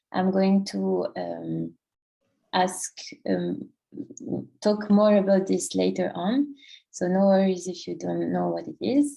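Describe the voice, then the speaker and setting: A woman speaks with a French accent at a very slow pace. Her speech is broken by long, frequent pauses. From France. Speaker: workshop presenter. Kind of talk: presentation. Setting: online workshop, screen sharing. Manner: halting, many fillers.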